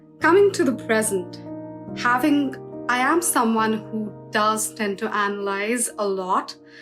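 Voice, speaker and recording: With music in the background, a woman speaks fairly slowly, her pitch swinging very widely. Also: fairly high pitch for a woman. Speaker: poet and spoken word artist. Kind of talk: personal reflective talk to camera.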